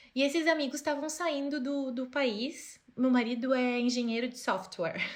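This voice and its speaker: A woman's high-pitched, animated voice at a moderate pace, with ordinary pitch variation and audible room echo. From interior of Rio Grande do Sul, Brazil. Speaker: fashion designer. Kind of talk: podcast interview. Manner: casual, animated.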